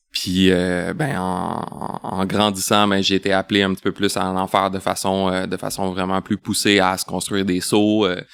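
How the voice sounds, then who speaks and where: A man with a very deep, low pitch speaks in a monotone at a moderate pace. The sound is dry and close, with no echo. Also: very clean recording, silent background. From Quebec, Laval. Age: 40s. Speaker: bicycle industry sales representative. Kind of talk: podcast interview. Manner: hesitant, many fillers and repetitions.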